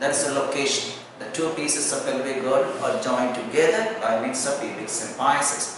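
Strong room echo surrounds a man's medium-pitched voice with a fairly bright tone. He talks at a moderate pace.

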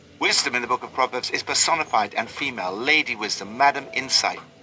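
A man talks at a fairly quick pace with ordinary pitch variation. Noticeable background noise is present. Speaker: Bible study narrator. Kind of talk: scripted devotional reading with prayers.

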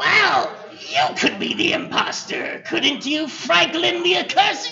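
A man in a put-on character voice speaks fairly slowly at an extremely high pitch. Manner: formal, archaic, dignified.

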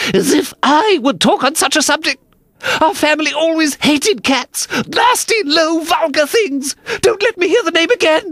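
This is a put-on character voice, high-pitched and shaky. It moves at a moderate pace. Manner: indignant, trembling.

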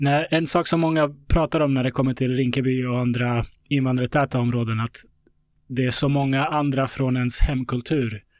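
A man with a medium pitch and an unremarkable speaking voice talks at a moderate pace with fairly even intonation, in a very clean recording with a silent background. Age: 30s. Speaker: podcast host. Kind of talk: interview conversation.

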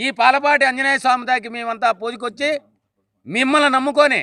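In a raised, projected voice, a man speaks at an extremely high pitch with a bright, sharp tone and monotone, flat intonation, recorded with a dry, close sound and no echo. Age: 60s. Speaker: community leader. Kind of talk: public speech.

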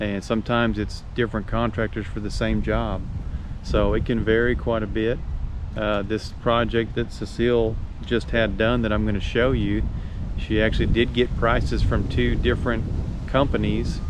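A man's voice in a dry sound with no echo, with noticeable background noise. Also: moderate pace. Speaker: vlogger. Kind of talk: casual vlog chat. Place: open country. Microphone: phone near.

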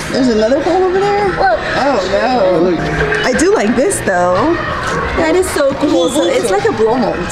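The voice moves at a moderate pace while clear music plays in the background. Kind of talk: casual vlog chat. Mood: excited, delighted. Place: shop. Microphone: phone near.

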